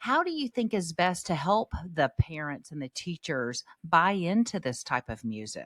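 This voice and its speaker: Loud and close in a dry recording with no echo, a woman speaks in a fairly low voice with very wide pitch swings. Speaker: podcast host and parenting speaker. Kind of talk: casual chat. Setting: video call. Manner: animated.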